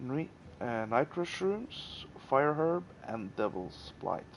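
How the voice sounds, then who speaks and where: Speaking at a fairly slow pace, a man with a non-native accent and medium pitch uses lively intonation. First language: not English. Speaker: gaming YouTuber. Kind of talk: gameplay tutorial. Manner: halting, many fillers.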